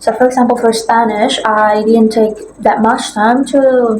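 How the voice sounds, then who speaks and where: A woman with an Indonesian accent speaks in a fairly high, flat monotone, with noticeable background noise and audible room echo. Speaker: language content creator. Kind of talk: casual vlog explanation. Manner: halting, with fillers and repetitions.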